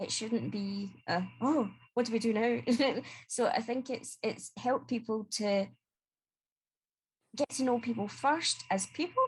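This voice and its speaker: The woman's voice is somewhat breathy. She talks at a moderate pace, and her intonation is lively. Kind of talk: casual panel discussion. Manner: clear speaking.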